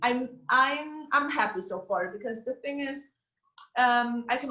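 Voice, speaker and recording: A woman's high-pitched voice with a German accent, bright and sharp in tone, at a moderate pace. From Austria. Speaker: former master's student, ex-TV journalist. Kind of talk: interview Q&A.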